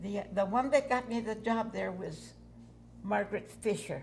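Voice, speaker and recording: Room echo can be heard on this recording. The woman's pace is moderate. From New Mexico, near Gallup. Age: 80s+. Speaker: retired waitress. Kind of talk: oral history interview. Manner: halting.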